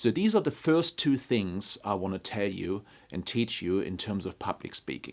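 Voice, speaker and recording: A man at a moderate pace with lively intonation, on a very clean recording with a silent background. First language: not English. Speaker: construction leadership trainer. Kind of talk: tutorial. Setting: talking to a camera.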